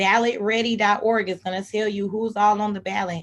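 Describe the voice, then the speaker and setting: With an American accent, a woman talks at a fairly quick pace, her medium-pitched voice keeping a fairly even intonation. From Texas, Houston. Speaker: civic engagement advocate. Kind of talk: presentation. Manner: fast.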